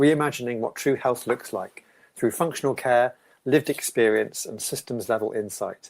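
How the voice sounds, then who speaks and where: A man talks at a moderate pace and medium pitch, his pitch varying in an ordinary way, with a plain, everyday voice. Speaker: podcast host. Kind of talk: podcast interview questions.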